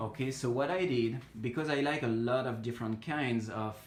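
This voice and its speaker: A man with a French accent at a medium pitch, ordinary pitch variation and a fairly slow pace, with audible room echo. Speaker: hobbyist plant grower. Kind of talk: casual tutorial walkthrough. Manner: hesitant, many fillers.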